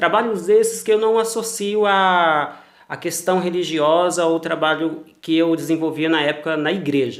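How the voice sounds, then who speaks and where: The speaker has a Mato Grosso do Sul accent and talks at a fairly slow pace. There are hardly any pauses. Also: man, high pitch for a man, ordinary pitch variation. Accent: Mato Grosso do Sul accent, noticeable. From Brazil, Mato Grosso do Sul (Campo Grande). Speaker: cultural producer, former pastor. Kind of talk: interview. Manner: formal.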